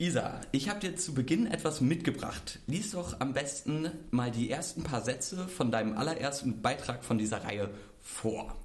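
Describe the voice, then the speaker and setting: A fairly high-pitched male voice with lively intonation and a moderate pace, amid noticeable background noise and audible room echo. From Mecklenburg-Vorpommern, Germany. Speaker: podcast host. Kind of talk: casual chat.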